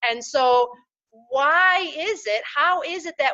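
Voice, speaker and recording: A woman projects a raised voice with a bright, sharp tone. Her intonation is lively. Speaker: interview host. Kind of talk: interview host talk.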